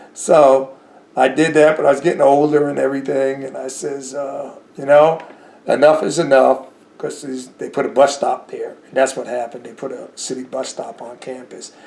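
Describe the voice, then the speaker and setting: Over noticeable background noise, a man with an American accent speaks at a moderate pace in a fairly high pitch, his intonation monotone and flat while his loudness swings widely. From New Jersey. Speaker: war veteran. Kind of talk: interview. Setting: at home.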